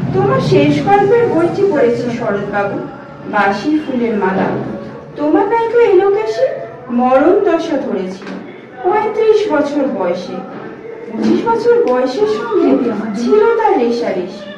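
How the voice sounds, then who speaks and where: Over noticeable background noise, a woman talks in a high pitch with very wide pitch swings. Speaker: teacher trainee. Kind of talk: poetry reading. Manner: emotive.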